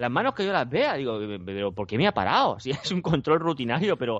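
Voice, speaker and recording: A man speaks at a medium pitch and a fairly quick pace. His pitch swings very widely. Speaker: podcast co-host. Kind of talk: casual chat.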